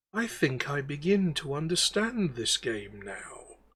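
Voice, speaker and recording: Doing a put-on character voice, a man moves at a fairly slow pace with very wide pitch swings. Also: fairly high pitch for a man. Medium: actual play.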